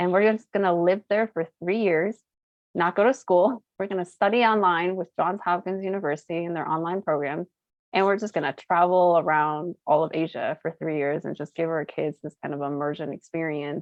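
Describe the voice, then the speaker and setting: A woman with a fairly low pitch speaks in a plain, everyday voice. Her pace is moderate and her pitch variation ordinary. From US West, Boulder, Colorado. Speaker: social entrepreneur. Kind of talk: interview conversation. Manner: casual, filler-heavy.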